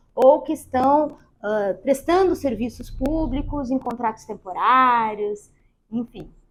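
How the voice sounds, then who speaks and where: A woman with a high pitch and lively intonation at a fairly slow pace. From Rio Grande do Sul, southern Brazil. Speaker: lawyer. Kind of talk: podcast interview.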